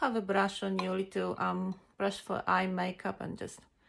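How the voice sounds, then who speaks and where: The woman's speech carries a non-native accent. She talks at a moderate pace. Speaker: makeup vlogger. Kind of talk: makeup tutorial. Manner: casual, halting with many fillers.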